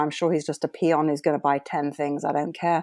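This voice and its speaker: A woman speaks in a British accent at a fairly quick pace. Her tone is dark and mellow. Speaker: former oil trader and marketer. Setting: speaking from Cape Cod, remote call.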